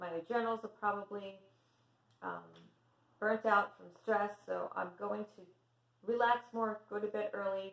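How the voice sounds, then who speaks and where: Soft-spoken and at a fairly slow pace, a woman talks at a medium pitch. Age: 50s. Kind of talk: casual talk to camera.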